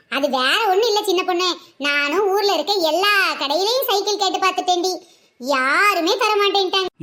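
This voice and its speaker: A woman uses a cartoonish character voice at an extremely high pitch. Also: fairly slow pace, very even loudness. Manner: stubborn, self-satisfied.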